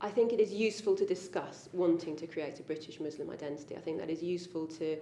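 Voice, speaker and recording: A woman with an English accent talks at a fairly quick pace over noticeable background noise. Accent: quintessentially English. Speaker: convert interviewee. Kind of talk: interview. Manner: hesitant, many ums.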